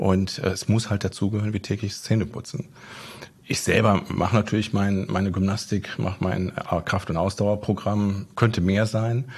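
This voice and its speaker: Somewhat breathy, the voice keeps its intonation fairly even. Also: man, fairly low pitch for a man, moderate pace. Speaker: business owner and former athlete. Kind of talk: interview.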